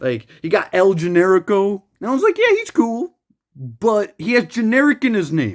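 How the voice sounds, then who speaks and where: A man speaks at a moderate pace in an animated tone with a high pitch. His pitch swings very widely, and the sound is dry and close with no echo. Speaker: gaming youtuber. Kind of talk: casual vlog rant. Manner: stuttering.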